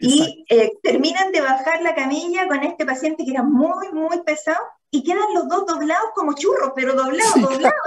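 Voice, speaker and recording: With lively intonation, a woman speaks at an extremely high pitch. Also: moderate pace. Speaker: doctor and radio host. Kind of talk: radio interview.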